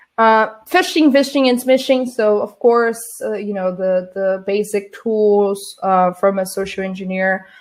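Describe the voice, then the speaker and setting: This woman talks at a fairly slow pace with a Portuguese accent and fairly even intonation. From Brazil. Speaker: social engineer, conference speaker. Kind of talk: conference talk. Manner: halting, many fillers and restarts.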